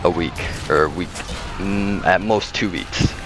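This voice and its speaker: A man's fairly low-pitched voice with music in the background. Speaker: gaming channel creator. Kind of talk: casual talk to camera. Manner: hesitant, stuttering.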